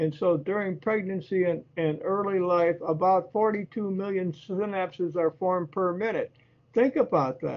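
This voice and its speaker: A man talks at a moderate pace. His voice is high, with ordinary pitch variation. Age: 80s+. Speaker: presenter on brain health. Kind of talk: lecture. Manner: halting.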